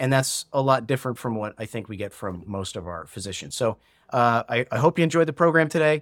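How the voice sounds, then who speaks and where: Recorded very clean and dry, close with no echo and a silent background, a man speaks at a fairly quick pace and a medium pitch with lively intonation. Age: 40s. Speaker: podcast host. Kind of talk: personal monologue. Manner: halting, many fillers.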